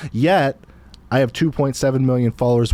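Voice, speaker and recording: A man mumbling at a fairly quick pace, his tone dark and mellow, his pitch varying in an ordinary way. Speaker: podcast host, real estate investor. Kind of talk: casual chat.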